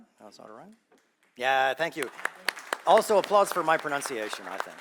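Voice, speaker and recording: Against crowd noise in the background, a man speaks at a fairly quick pace with lively intonation and big swings in loudness, broken by long, frequent pauses. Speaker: session moderator. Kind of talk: conference moderation. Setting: stage with audience.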